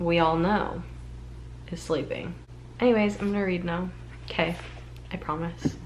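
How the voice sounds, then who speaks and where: Long, frequent pauses break up the speech in an American accent, heard through noticeable background noise and audible room echo. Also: woman, moderate pace. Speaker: book vlogger. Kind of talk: casual vlog.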